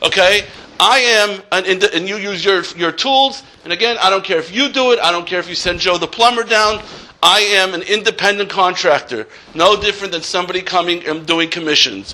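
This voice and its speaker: Over noticeable background noise, a man with a high voice for a man speaks fairly quickly in a raised, projected voice with ordinary pitch variation. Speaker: accountant and college lecturer. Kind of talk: workshop lecture. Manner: loud.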